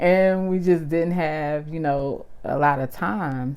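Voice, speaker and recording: In a Southern US accent, a woman speaks with a relaxed tone at a fairly low pitch. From US South. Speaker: vlogger. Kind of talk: casual chat. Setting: at home on couch.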